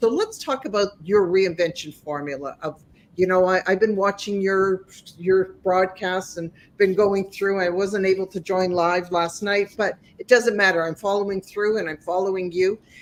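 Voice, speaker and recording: At a moderate pace, a woman uses a normal speaking voice with medium pitch and fairly even intonation. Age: 60s. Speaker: life coach and podcast host. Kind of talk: interview.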